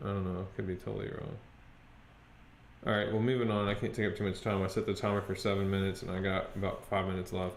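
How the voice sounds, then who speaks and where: A man's fairly low voice at a very fast pace, monotone and flat, with audible room echo. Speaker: stock trading youtuber. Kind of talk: screen-share tutorial and trading update. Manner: hesitant, many fillers.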